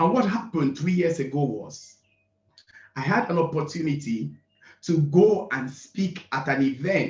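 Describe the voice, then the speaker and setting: A somewhat breathy male voice at a moderate pace, ordinary pitch variation and audible room echo. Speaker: event speaker. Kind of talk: motivational speech.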